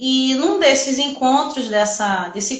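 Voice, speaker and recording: A woman speaks with a Rio de Janeiro accent. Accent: carioca. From Rio de Janeiro, Brazil. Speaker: nurse and entrepreneurship teacher. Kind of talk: live stream talk. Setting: online live stream. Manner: talkative.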